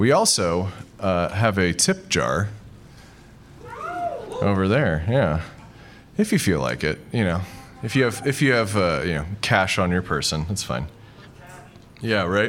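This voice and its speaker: A man's fairly low voice with lively intonation and long, frequent pauses, music in the background. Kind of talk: live comedy show intro, audience banter on stage. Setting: stage with audience.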